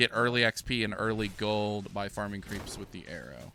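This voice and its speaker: Music plays in the background as a man speaks. His medium pitch holds fairly even intonation at a moderate pace. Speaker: gaming video creator. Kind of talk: gameplay commentary. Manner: casual, conversational.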